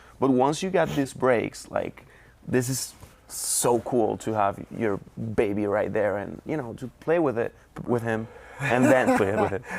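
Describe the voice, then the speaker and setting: The man's intonation is lively and his pitch medium. He speaks at a fairly slow pace. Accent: Spanish. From Venezuela, Caracas. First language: Spanish. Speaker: trader. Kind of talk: interview. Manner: halting.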